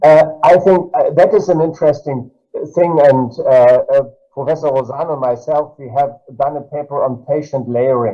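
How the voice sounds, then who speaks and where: With music in the background, a man with a fairly high voice and a German accent speaks at a moderate pace with ordinary pitch variation. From Germany. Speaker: cardiology professor. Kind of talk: panel discussion. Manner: halting.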